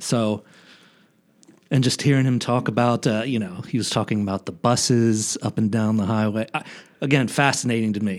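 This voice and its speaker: A man with an American accent, medium pitch and a plain, everyday voice, speaking at a moderate pace with fairly even intonation in a very clean recording against a silent background. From local area of the show (US East Coast). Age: 40s. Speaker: foundation fundraiser, aspiring podcaster. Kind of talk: casual chat.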